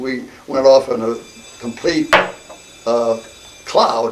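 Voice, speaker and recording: A man's flat, monotone delivery against noticeable background noise. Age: 80s+. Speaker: war veteran. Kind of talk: interview. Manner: halting.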